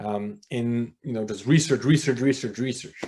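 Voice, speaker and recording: A man speaks with a Polish accent. His pitch is fairly low and varies in an ordinary way. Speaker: former church elder. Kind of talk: interview conversation. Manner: animated.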